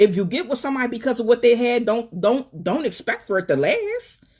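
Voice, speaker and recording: Over noticeable background noise, a woman talks at a fairly quick pace, her pitch swinging very widely. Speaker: live stream talk show host. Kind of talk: live stream monologue with call-ins. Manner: fast; animated.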